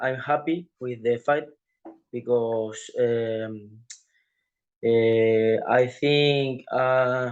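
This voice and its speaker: Monotone and flat, a man with a Spanish accent speaks at medium pitch. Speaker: professional MMA fighter. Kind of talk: interview. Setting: video call. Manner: halting, many hesitations.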